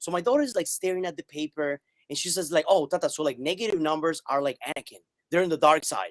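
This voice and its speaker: Very fast and animated, a man speaks in a high pitch, with a dry, close sound and no echo. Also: ordinary pitch variation. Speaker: math teacher. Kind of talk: interview on live stream.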